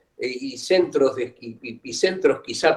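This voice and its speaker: The speaker uses ordinary pitch variation at a fairly slow pace. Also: man. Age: 60s. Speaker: author. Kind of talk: book presentation interview. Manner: halting.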